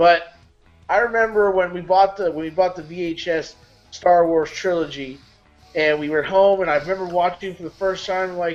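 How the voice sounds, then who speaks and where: A man speaks at a moderate pace with a high pitch. Music plays in the background. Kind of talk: casual talk show banter. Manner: excited, enthusiastic.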